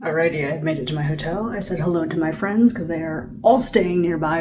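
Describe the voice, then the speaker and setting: A woman with a fairly low voice speaks quickly with lively intonation. Room echo is audible, and there is noticeable background noise. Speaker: vlogger. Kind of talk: travel vlog. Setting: hotel; airport. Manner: animated.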